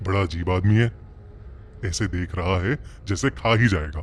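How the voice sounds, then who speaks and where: With clear background noise behind him, a man uses a cartoonish character voice, very deep and low in pitch, at a moderate pace. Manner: stammering.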